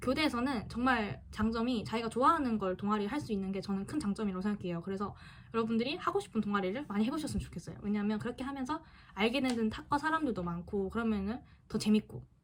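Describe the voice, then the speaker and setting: A woman with a fairly high pitch talks very fast with lively intonation. Noticeable background noise is present. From Busan, South Korea. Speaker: student YouTuber. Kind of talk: casual Q&A vlog. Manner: halting.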